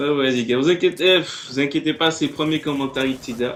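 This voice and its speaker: The speaker has a slight Martinican accent and fairly even intonation. Noticeable background noise is present. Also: man. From Martinique. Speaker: gaming commentator. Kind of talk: gameplay commentary. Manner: casual, laughing.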